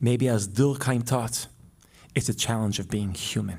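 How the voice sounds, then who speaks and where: The speaker has a dark, mellow tone and an Israeli accent. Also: man. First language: Hebrew. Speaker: public intellectual and podcast co-host. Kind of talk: public talk with Q&A.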